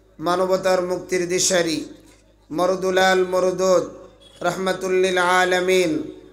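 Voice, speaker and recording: A man speaks in a high-pitched voice with flat, monotone intonation, and the room echo is audible. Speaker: Islamic preacher. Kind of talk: sermon. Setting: stage with audience at religious gathering. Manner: loud, call-and-response with audience.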